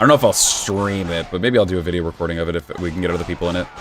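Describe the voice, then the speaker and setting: Very rapid speech over background music. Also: man. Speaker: VTuber streamer. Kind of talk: casual gaming livestream chat. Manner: relaxed.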